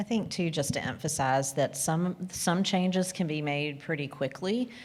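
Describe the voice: A woman with a low pitch talks at a fairly slow pace, with ordinary pitch variation.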